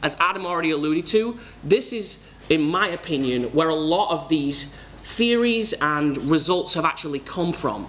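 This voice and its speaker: Audible room echo and noticeable background noise surround a man whose high-pitched voice has lively intonation at a moderate pace. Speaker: conference speaker. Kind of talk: conference talk. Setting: stage with audience.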